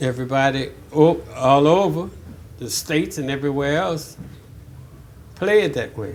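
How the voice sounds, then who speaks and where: A man with a New Orleans accent speaks at a medium pitch and a moderate pace. His intonation is lively, and room echo is audible. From New Orleans, Louisiana (Sixth Ward). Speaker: jazz drummer. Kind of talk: oral history interview. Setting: interview at a music venue. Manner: halting, with frequent fillers and restarts.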